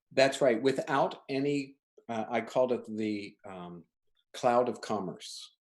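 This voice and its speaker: An unremarkable speaking voice, this man's sits at a medium pitch, moving at a fairly slow pace with big swings in loudness. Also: ordinary pitch variation. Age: 60s. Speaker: designer and studio owner. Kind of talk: casual interview chat.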